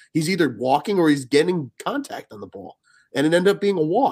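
Very wide pitch swings mark this man's speech, delivered fairly quickly. His voice carries vocal fry. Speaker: sports podcast host. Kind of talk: casual chat.

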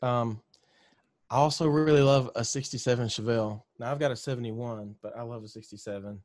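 A man with a Southern US accent, medium in pitch, at a fairly quick pace, with big swings in loudness, fairly even intonation and a quiet background. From Mississippi, US South. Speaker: country singer-songwriter. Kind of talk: casual interview chat.

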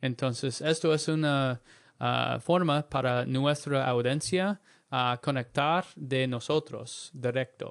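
Over a silent background on a very clean recording, a man talks at a fairly slow pace with medium pitch, fairly even intonation and very even loudness. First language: English (learning Spanish). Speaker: podcast co-host, language learner. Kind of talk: casual chat. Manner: halting in Spanish.

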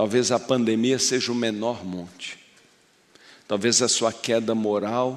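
A man speaks at a medium pitch in a monotone, flat way. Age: 60s. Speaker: pastor. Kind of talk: sermon.

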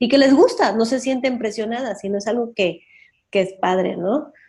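Somewhat breathy and dark, mellow in tone, the voice keeps a moderate pace with ordinary pitch variation on a very clean recording with a silent background. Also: woman. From Mexico City. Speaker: dance teacher and cultural manager. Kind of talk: interview.

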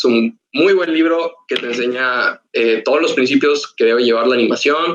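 At a moderate pace, a man talks with hardly any pauses. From Mexico, Ciudad Victoria (Tamaulipas). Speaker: animation student. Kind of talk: casual podcast interview. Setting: online voice call.

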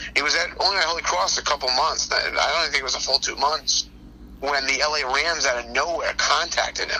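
Speaking fairly quickly, a man is heard with noticeable background noise behind him. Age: 40s. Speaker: football coach. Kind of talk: casual interview. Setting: phone call.

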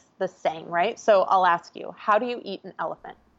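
A woman talks with an Upper Midwest accent. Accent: Upper Midwest American. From US Midwest, small-town Minnesota. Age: 30s. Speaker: entrepreneur and life coach. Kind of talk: podcast interview. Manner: energetic.

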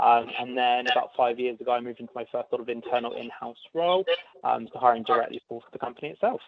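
A man with a British accent talks at a very fast pace with big swings in loudness. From UK. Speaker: talent acquisition advisor. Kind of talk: interview Q&A. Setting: phone or video call.

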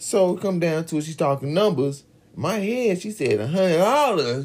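Loud and animated, a man talks at a moderate pace with very wide pitch swings. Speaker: podcast co-host. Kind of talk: casual chat. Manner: loud, animated.

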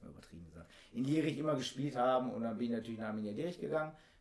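Talking at a very fast pace, a man uses lively intonation at medium pitch. Noticeable background noise runs under his voice. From Oberhausen, Ruhr area, Germany. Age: 30s. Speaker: amateur footballer. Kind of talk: casual chat.

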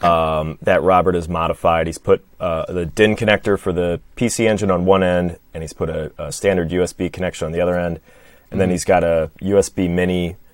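With a Midwestern American accent, the man talks in a very deep, low voice. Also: very clean recording, silent background. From Michigan. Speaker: podcast guest co-host. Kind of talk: casual conversational.

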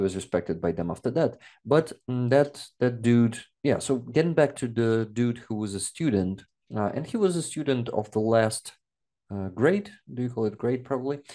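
A man with a Russian accent speaks at a moderate pace in a medium pitch, his dark, mellow tone carried by lively intonation over a quiet background. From Donetsk region, eastern Ukraine. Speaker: war content creator and translator. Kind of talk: interview.

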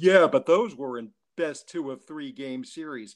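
Using a put-on character voice, a man whines in a fairly high pitch at a moderate pace. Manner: mocking, whiny.

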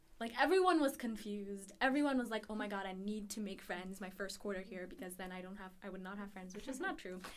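Amid noticeable background noise and audible room echo, the speaker races along at a very fast pace with hardly any pauses, big swings in loudness and ordinary pitch variation. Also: woman, medium pitch for a woman. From Ethiopia. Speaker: university student. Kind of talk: interview.

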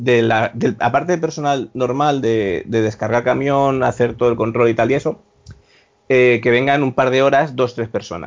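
A man with a plain, everyday voice speaks at medium pitch and a moderate pace, with very even loudness and fairly even intonation. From Spain, Valencia. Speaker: hospitality worker. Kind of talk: casual chat.

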